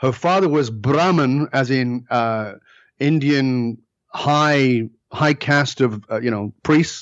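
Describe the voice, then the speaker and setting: A man with a British accent talks very slowly at a medium pitch, with ordinary pitch variation. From northern England. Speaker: leadership speaker. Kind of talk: podcast interview. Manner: animated.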